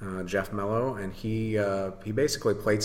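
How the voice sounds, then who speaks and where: A man talks at a moderate pace with a fairly low pitch and an American accent. He has an ordinary speaking voice. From western Michigan. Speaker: brewery owner. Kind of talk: casual chat. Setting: at his brewery.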